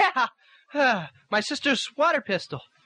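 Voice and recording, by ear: Putting on a character voice, a man speaks at a slow pace with an extremely high pitch, a bright, sharp tone and big pitch swings.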